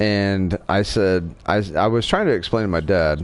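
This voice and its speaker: With a slight Southern accent, a man talks at a fairly slow pace in a very deep, low pitch with ordinary pitch variation. Noticeable background noise runs behind him. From Wyoming. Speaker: gaming livestreamer. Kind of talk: casual chat.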